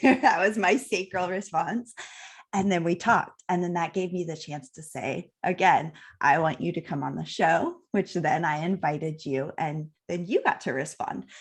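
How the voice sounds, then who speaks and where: A woman with an ordinary speaking voice talks at a moderate pace and a fairly low pitch, using lively intonation. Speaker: podcast host. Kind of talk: interview. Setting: live video stream.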